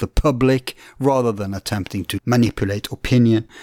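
A man with a Norwegian accent speaks at a moderate pace with fairly even intonation. The sound is dry and close with no echo, and there is noticeable background noise. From Norway. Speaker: podcast host.

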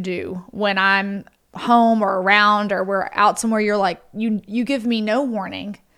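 Fairly high-pitched, a woman talks with a Southern US accent. Her pace is fairly slow and her intonation fairly even. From US South, Mississippi. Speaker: podcast host. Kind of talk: casual chat.

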